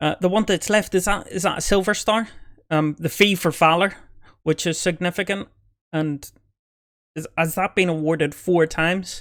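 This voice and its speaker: With a Belfast accent, a man speaks at a high pitch and a moderate pace on a very clean recording with a silent background. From Northern Ireland, Belfast. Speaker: army veteran reacting to videos. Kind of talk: reaction commentary. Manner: hesitant, repeats words.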